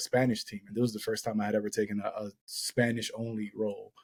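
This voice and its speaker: Heard with a dry, close sound and no echo, the voice has an American accent and monotone, flat intonation. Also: man. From Boston. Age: 30s. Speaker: poet. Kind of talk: casual chat.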